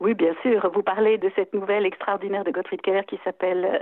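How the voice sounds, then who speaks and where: A woman with a normal speaking voice talks at medium pitch and a moderate pace. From French-speaking Switzerland (Neuchâtel, La Chaux-de-Fonds). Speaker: literary translator. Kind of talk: interview.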